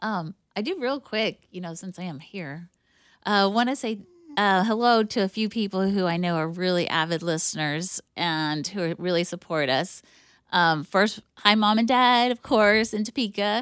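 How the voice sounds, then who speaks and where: An unremarkable speaking voice from a woman, medium in pitch, with ordinary pitch variation and a moderate pace. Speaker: bakery owner. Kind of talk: casual chat. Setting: studio.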